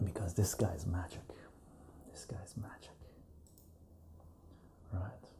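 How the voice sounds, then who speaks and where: A man whispers at a very slow pace. Long pauses come often. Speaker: home liqueur maker. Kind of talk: casual talk to camera, demonstrating homemade liqueur. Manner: soft-spoken.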